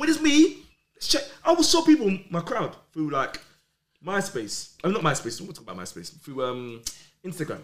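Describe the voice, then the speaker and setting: Man with a London accent at a moderate pace, with big swings in loudness. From London, Islington. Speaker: rave promoter. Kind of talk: casual chat.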